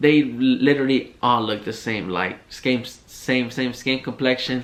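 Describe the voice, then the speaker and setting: A man speaks in an unremarkable speaking voice at medium pitch, with fairly even intonation and a fairly slow pace. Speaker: podcast host. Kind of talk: casual monologue rant.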